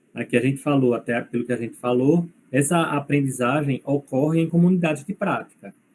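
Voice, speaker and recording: Speaking at a moderate tempo, a man has a fairly high pitch and an unremarkable speaking voice. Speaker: university lecturer. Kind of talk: lecture.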